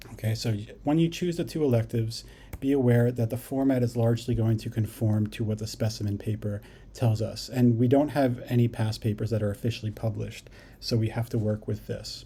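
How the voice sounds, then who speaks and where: Somewhat breathy and dark, mellow in tone, a man's medium-pitched voice moves at a fairly quick pace with fairly even intonation. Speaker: psychology teacher. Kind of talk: lecture. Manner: fast.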